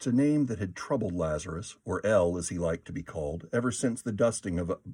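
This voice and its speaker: Dark and mellow in tone, this man talks fairly quickly with lively intonation. The recording is very clean, with a silent background. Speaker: audiobook narrator. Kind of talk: audiobook narration.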